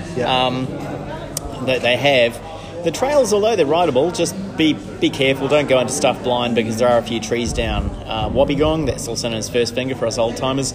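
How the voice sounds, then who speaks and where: Amid noticeable background noise and audible room echo, a man with a slight New Zealand accent speaks at a medium pitch. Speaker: mountain biking contributor. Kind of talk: casual chat.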